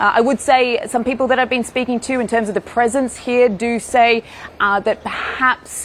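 A woman with a high-pitched voice speaks at a moderate pace in a flat, monotone way over noticeable background noise. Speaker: news correspondent. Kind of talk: live report.

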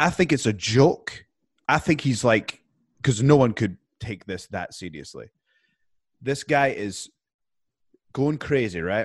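Against a quiet background, a man with a British accent speaks at a fairly slow pace with lively intonation. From UK. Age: 30s. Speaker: professional wrestler. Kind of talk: casual chat.

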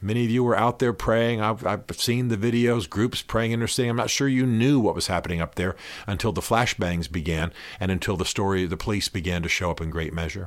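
An ordinary speaking voice from a man with an American accent, fairly low in pitch with ordinary variation and a fairly quick pace, in a very clean recording with a silent background. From US South (Georgia). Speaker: podcast host, author and faith commentator. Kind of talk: solo commentary monologue. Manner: earnest, conversational.

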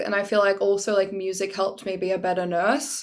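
A woman speaks with an Australian accent and fairly even intonation. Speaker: singer and nurse. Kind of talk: casual chat. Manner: loud.

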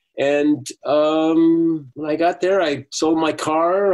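This is a man speaking. He has an American accent. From Uruguay-born, raised in the US from age three. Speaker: soap opera actor and voiceover artist. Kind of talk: casual interview. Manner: halting, with many restarts.

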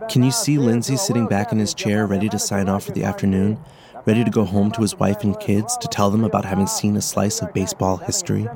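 Music plays behind a man whose fairly low, warm voice races along at a very fast pace with ordinary pitch variation. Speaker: podcast host. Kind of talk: scripted narration. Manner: warm, conversational, storytelling.

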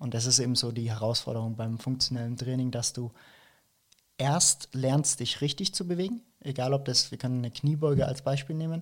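This man talks at a fairly quick pace in a somewhat breathy medium-pitched voice. The recording is very clean, with a silent background. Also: ordinary pitch variation. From Franconia, Germany (Nuremberg). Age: 20s. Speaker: fitness coach. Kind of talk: casual interview.

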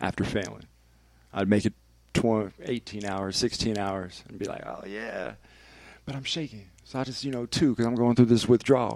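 A medium-pitched man with a Northern California accent, moderate pace, ordinary pitch variation and big swings in loudness, on a very clean recording with a silent background. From Vallejo, California. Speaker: radio DJ. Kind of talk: casual chat. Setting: studio.

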